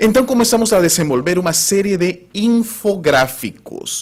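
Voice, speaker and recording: A man speaks with a Spanish accent. His pitch sits high. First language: Spanish (speaking Portuguese). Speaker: spiritist lecturer. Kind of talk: lecture. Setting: spiritist center with audience.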